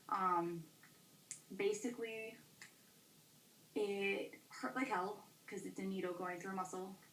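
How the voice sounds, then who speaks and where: A woman speaks with an American accent and long, frequent pauses. Audible room echo surrounds her voice. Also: medium pitch for a woman, fairly even intonation. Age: young. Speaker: vlogger. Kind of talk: casual vlog. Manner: fast; hesitant with fillers.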